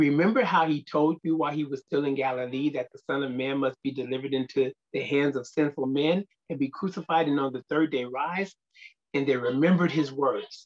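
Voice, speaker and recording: Over a quiet background, a man speaks at a fairly quick pace with fairly even intonation. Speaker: speaker. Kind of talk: scripture reading and prayer. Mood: reverent, earnest. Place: office. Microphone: webcam.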